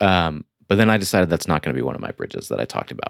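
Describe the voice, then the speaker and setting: A man with an American accent talks at a very fast pace, his very deep, low voice carrying vocal fry. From Michigan, near Flint. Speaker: filmmaker and zine creator. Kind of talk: casual chat.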